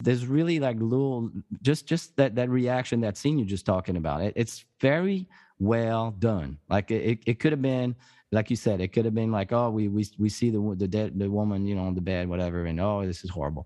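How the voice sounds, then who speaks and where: With a French accent, a man talks at a fairly quick pace with lively intonation. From France. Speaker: podcast host, guest. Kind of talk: casual chat. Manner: halting.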